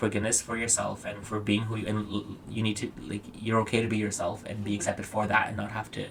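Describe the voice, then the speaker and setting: Fairly low in pitch, a man speaks at a fairly quick pace. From Afghanistan and Pakistan, then Canada from age 11. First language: Dari/Farsi. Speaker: blogger and podcast host. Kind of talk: casual chat. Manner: fast.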